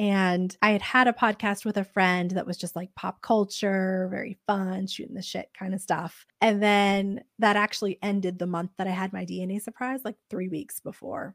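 Recorded very cleanly against a silent background, with a dry, close sound and no echo, a woman uses a plain, everyday voice at a medium pitch, keeping a moderate pace, fairly even intonation and hardly any pauses. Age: 30s. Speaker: podcast host, guest sharing DNA discovery story. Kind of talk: casual interview chat.

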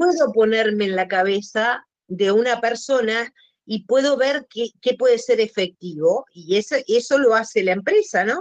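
A woman speaks in a plain, everyday voice, pitched fairly high. Her pace is fairly slow and her intonation lively. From Uruguay. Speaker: podcast guest. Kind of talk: casual interview conversation.

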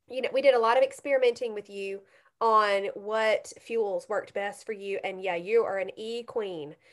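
In a quiet setting, a woman with an unremarkable speaking voice talks at a moderate pace, with ordinary pitch variation and big swings in loudness. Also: fairly high pitch for a woman. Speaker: podcast host and coach. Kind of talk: casual interview chat. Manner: warm, encouraging.

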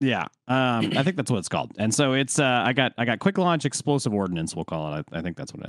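A man speaks very fast at a medium pitch, with very wide pitch swings. The sound is dry and close with no echo, over a quiet background. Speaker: Destiny gaming commentator. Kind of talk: casual chat.

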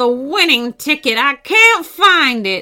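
A slow, put-on character voice with a bright, sharp tone and big pitch swings. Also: woman, high pitch for a woman.

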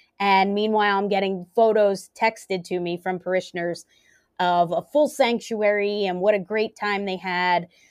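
The background is quiet as a woman speaks with an American accent at a moderate pace. She has an ordinary speaking voice at medium pitch. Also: fairly even intonation. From US, Philadelphia area. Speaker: pastor. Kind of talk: interview conversation.

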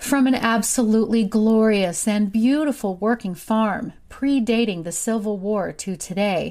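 This speaker has an American accent and talks at a very slow pace. The pitch rises and falls in an ordinary way. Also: woman. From US Ozarks, southwest Missouri. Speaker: true crime podcaster. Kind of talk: scripted narration.

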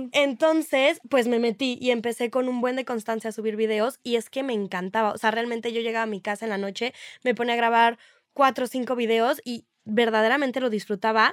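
A woman's unremarkable speaking voice, fairly high in pitch and fairly quick, with fairly even intonation, in a very clean, dry, close recording with a silent background and no echo. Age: young. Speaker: social media influencer. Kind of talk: casual chat.

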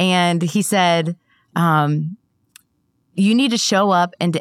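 The sound is dry and close with no echo as a woman with an American accent speaks at a medium pitch with ordinary pitch variation. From Ohio. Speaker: insurance agency owner. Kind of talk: interview. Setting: studio.

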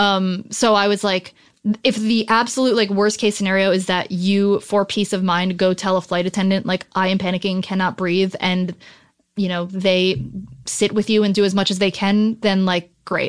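A woman with an American accent speaks at a moderate pace and a medium pitch, her intonation monotone and flat and her loudness very even, on a very clean recording with a silent background. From New Jersey. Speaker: writer. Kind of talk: casual chat.

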